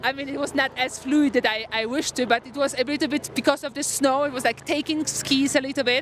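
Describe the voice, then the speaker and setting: A Polish accent over noticeable background noise. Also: woman. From Poland. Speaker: professional freeride snowboarder. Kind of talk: post-competition interview. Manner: halting.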